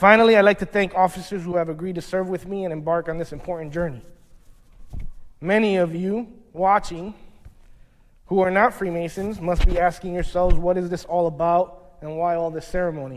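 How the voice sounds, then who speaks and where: At a fairly quick pace, a man speaks in a high pitch with fairly even intonation. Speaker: newly installed lodge master. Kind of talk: formal acceptance speech. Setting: lodge room ceremony, also streamed. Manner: fast.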